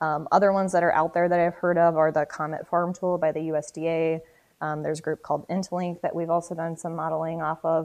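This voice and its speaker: In an Upper Midwest accent, a woman speaks at a fairly quick pace with monotone, flat intonation. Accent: Upper Midwest American. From South Dakota. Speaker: marketing and sustainability manager. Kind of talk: podcast interview.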